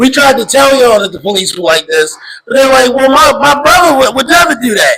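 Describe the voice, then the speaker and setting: Over noticeable background noise, the voice is raised and projected, moving at a fairly quick pace with lively intonation and an animated tone. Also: man. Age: 30s. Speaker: hardcore punk band frontman. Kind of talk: casual chat.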